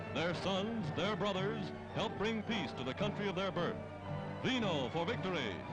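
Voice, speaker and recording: With music in the background, a man speaks at a moderate pace in a high voice, his tone dramatic and his pitch variation ordinary. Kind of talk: newsreel narration. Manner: dramatic, emphatic.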